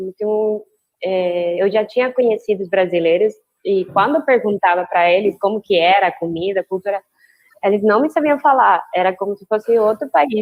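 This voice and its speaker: A woman with a Spanish accent speaks at a moderate pace in a medium pitch with ordinary pitch variation. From Mexico. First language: Spanish (speaking Portuguese). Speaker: biologist. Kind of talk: casual chat.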